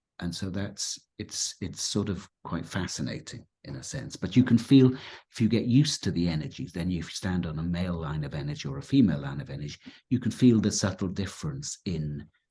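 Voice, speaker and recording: A man with a very deep, low pitch and a dark, mellow tone, somewhat breathy, his pitch swinging very widely and his loudness shifting a lot, at a fairly quick pace. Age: 50s. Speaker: spiritual teacher. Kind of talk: casual chat. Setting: live video stream. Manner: halting.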